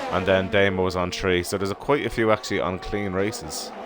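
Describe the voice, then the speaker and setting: Someone speaks with an Irish accent over music in the background. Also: man. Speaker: sim racing commentator. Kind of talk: live commentary.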